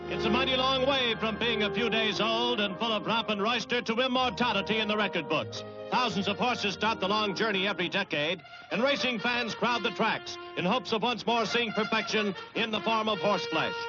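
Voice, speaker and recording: Music plays in the background as a man talks at a fairly quick pace in a high voice, with very even loudness and ordinary pitch variation. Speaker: newsreel narrator. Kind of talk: newsreel narration.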